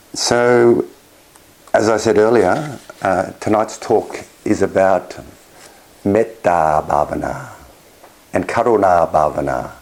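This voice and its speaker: Over noticeable background noise, a man talks very slowly at a fairly low pitch. His loudness stays very even, with long, frequent pauses. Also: lively intonation. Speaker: clinical psychologist and meditation teacher. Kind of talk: dharma talk at an online retreat.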